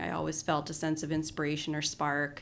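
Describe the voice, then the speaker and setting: A woman speaks with a Colorado accent. Her pace is moderate. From Colorado, US. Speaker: design strategist and artist. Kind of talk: podcast interview. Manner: casual, with many fillers.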